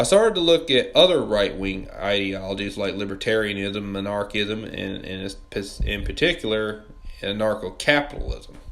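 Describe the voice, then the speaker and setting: A man speaks with a Southern US accent at a moderate pace and a fairly low pitch. His loudness swings widely while his pitch variation stays ordinary. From US South, Mississippi. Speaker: political commentary YouTuber. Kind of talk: scripted video essay narration.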